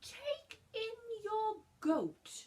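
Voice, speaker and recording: The put-on character voice carries lively intonation. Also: woman. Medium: read story.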